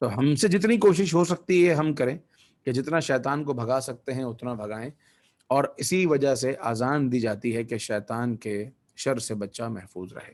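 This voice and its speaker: A very clean recording against a silent background, carrying lively intonation. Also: man, medium pitch for a man. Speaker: Islamic scholar. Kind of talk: Islamic sermon delivered to an audience.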